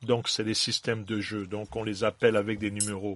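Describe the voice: A man talks at a fairly quick pace in a fairly low, fairly bright voice. There is little movement in his pitch.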